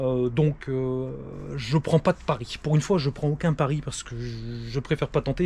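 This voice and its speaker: Somewhat breathy, a man with a northern French accent speaks at a fairly high pitch. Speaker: pest control expert. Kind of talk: casual vlog with on-site demonstration. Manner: casual, lively; hesitant with fillers.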